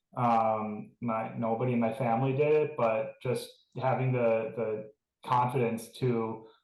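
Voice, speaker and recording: This is a man with an ordinary speaking voice and fairly even intonation. His pitch is medium. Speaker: school alumnus panelist. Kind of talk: panel discussion.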